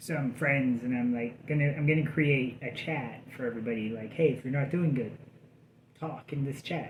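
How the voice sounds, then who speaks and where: The voice is somewhat breathy. Room echo can be heard. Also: man, medium pitch for a man, fairly even intonation, moderate pace. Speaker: vlogger in addiction recovery. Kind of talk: casual vlog update. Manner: halting, many fillers.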